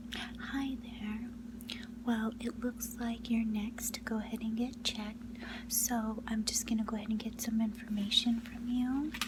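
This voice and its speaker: Soft-spoken delivery at a moderate pace against noticeable background noise. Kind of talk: ASMR school nurse role-play, personal attention.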